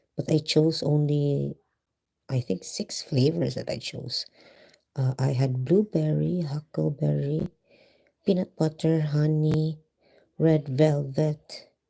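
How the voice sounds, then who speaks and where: Whispering at a very slow pace, with a Visayan Filipino accent. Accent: Filipino (Cebuano) English. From Philippines, Cebu. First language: Filipino / Cebuano. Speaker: vlogger. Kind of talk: live stream chat. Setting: live stream at home, night. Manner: code-switching Tagalog and English.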